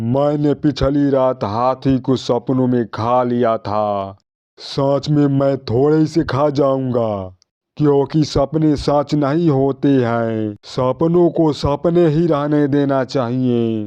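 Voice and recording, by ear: A man does a cartoonish character voice at a medium pitch. He talks at a very slow pace with hardly any pauses.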